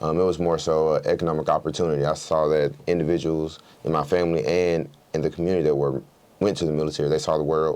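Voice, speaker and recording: In an American accent, a man with a very deep, low pitch talks very fast in a flat monotone at very even loudness. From US South, Clayton County near Atlanta, Georgia. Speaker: state legislator. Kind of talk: interview.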